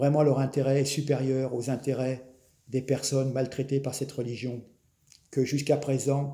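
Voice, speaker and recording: This man has a dark, mellow tone that is somewhat breathy. He speaks at a fairly slow pace. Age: 60s. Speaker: political commentator. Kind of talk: opinion monologue. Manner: animated.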